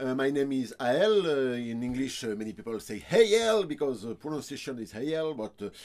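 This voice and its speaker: A man with a strong French accent speaks at a medium pitch that makes very wide swings. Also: moderate pace. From France. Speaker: ukulele player and reviewer. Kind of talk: product review. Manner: halting, many hesitations.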